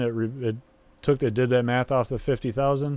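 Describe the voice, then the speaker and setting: A man's voice with fairly even intonation in a dry sound with no echo. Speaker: crypto YouTuber; content creator reviewing proposals. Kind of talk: screen-share tutorial. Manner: hesitant, many fillers. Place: home room. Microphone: new microphone, possible audio drift.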